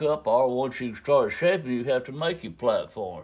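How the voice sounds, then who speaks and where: A man with a Southern US accent at a moderate pace over a quiet background. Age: 70s. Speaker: flintknapping craftsman. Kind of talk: tutorial. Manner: casual, folksy.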